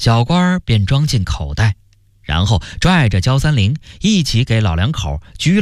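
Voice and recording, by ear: Someone is reading aloud in a natural voice.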